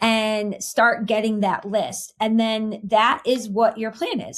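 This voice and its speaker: A woman is speaking. She has a normal speaking voice. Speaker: marketing executive for financial advisors. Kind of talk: interview.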